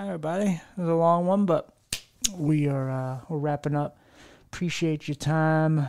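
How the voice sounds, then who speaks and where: Speaking with an American accent, a man uses a fairly high pitch and fairly even intonation at a moderate pace. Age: 30s. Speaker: podcast host. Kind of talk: casual chat. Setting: home living room.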